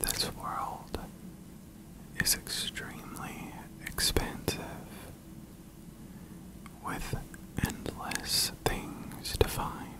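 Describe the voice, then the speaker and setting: Whispering at a very slow pace, with long, frequent pauses and noticeable background noise. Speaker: ASMR video game streamer. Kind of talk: whispered let's play walkthrough. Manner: whispered, soft-spoken, relaxing.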